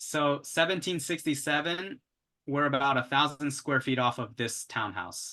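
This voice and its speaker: Over a quiet background, a man with a fairly high pitch and a bright, sharp tone speaks at a fairly slow pace with ordinary pitch variation. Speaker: real estate agent teaching investing. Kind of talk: tutorial.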